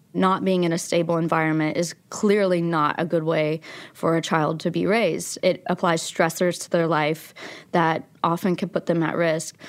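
Speaking with an American accent, a woman keeps a fairly low pitch, flat monotone intonation, very even loudness and a moderate pace. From West Virginia, Logan. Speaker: documentary filmmaker. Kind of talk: interview.

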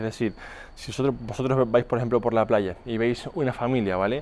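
A man at a medium pitch with ordinary pitch variation and a normal speaking voice. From Canary Islands. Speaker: fitness coach and podcast host. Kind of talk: podcast monologue. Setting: outdoors, walking on the street.

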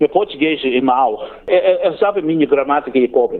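This man's pitch swings very widely. He talks at a fairly slow pace. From Australia, Cairns, Queensland. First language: English (speaking Portuguese). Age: 40s. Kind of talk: interview. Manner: halting.

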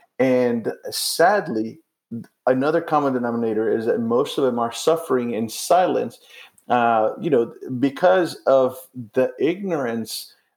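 At a medium pitch, this man talks in an unremarkable speaking voice. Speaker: missionary and podcast co-host. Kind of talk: casual conversation. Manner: conversational, laughing.

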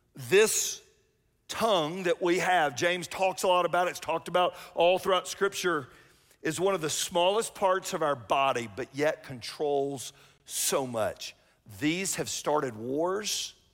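A man with a Southern US accent speaks at a high pitch and a fairly slow pace. His pitch varies in an ordinary way on a very clean recording with a silent background. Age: 50s. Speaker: pastor. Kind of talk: sermon. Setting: church with live audience. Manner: loud.

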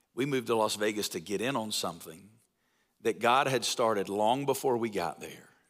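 A man talks at a fairly quick pace with a Southern US accent and a medium pitch. His pitch varies in an ordinary way, and the recording is very clean with a silent background. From US South, North Alabama. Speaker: pastor and church-planting network leader. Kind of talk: sermon. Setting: church. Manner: animated.

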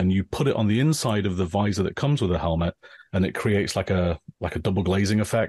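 Fairly low in pitch, a man speaks with an English accent at a fairly quick pace. The sound is dry and close with no echo, and the background is quiet. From northern England, Grimsby. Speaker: engineer. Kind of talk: casual chat.

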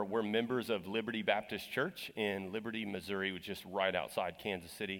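This man has a plain, everyday voice with an American accent and a fairly low pitch. He speaks at a moderate pace with ordinary pitch variation. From Texas. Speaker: guest preacher. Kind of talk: sermon. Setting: church.

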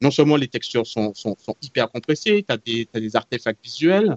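His voice sits fairly high for a man. The pitch swings very widely as he talks. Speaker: tech commentator. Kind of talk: casual chat.

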